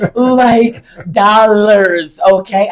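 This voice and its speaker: Over noticeable background noise, a woman with an American accent speaks at a fairly high pitch. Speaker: podcast co-host. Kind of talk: casual chat.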